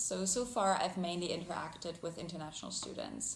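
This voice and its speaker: Speaking at a fairly quick pace with a German accent, a woman keeps a fairly low pitch and fairly even intonation amid audible room echo. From Germany. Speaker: international graduate student. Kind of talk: interview. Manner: hesitant, with many fillers.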